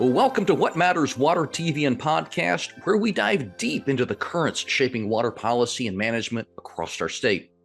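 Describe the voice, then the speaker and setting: A man at a medium pitch, fairly quick and with hardly any pauses, his pitch swinging very widely over music in the background. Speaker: podcast host. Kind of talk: podcast intro.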